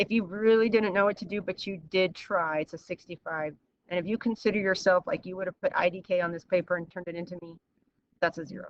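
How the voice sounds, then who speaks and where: A woman's plain, everyday voice, medium in pitch with ordinary pitch variation, at a fairly quick pace in a dry, close sound with no echo. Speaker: math teacher. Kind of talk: online class lesson.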